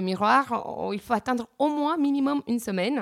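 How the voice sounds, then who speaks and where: Her pace is fairly slow. The woman's intonation rises and falls in a lively way. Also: very clean recording, silent background. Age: 30s. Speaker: real estate agent sharing plastic surgery experience. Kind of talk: testimony. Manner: halting, many hesitations.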